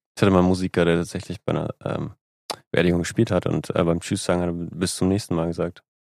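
A man with a very deep, low voice talks at a very fast pace in a flat monotone. The sound is dry and close, with no echo. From northern Germany, Lübeck. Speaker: music booking agency owner and musician. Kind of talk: casual interview chat.

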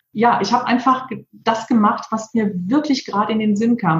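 With a normal speaking voice, this woman keeps a moderate pace, her pitch fairly high and its variation ordinary. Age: 50s. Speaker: PR agency owner and author. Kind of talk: interview.

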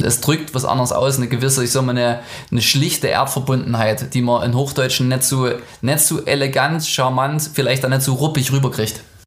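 A man talks at a fairly quick pace in a medium pitch, his intonation monotone and flat and his loudness very even. Audible room echo and noticeable background noise fill the recording. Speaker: musician. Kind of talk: interview.

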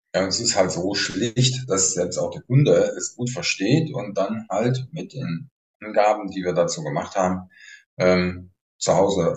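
A man with a fairly low, somewhat breathy voice speaks at a fairly slow pace. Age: 60s. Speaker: retired police officer, therapist. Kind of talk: interview conversation.

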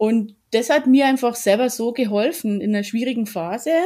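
In a slight Bavarian accent, a woman talks at a moderate pace in a fairly high pitch with a dark, mellow tone and ordinary pitch variation, on a very clean recording with a silent background. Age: 40s. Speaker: yoga teacher. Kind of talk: interview.

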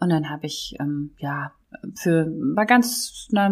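A woman speaks with very wide pitch swings. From Germany, Rhineland near Düsseldorf. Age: 50s. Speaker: foundation founder. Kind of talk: casual chat.

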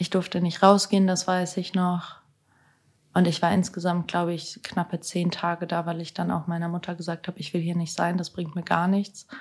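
On a very clean recording with a silent background, a woman with a fairly low, somewhat breathy voice speaks at a moderate pace in a monotone, flat way. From Germany, Hannover. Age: 20s. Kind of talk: casual interview.

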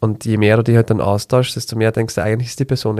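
A man speaks at a medium pitch with a dark, mellow tone, in a dry, close sound with no echo. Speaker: physiotherapist podcast host. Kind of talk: casual chat.

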